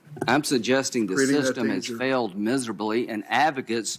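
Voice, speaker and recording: A man speaks with a Southern US accent. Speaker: senator. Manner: yelling, shouting.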